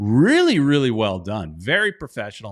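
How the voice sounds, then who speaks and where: This man talks at a moderate pace. Everything is very clean, the background silent. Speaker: soccer podcast host. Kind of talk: live-stream fan chat show. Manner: halting; loud.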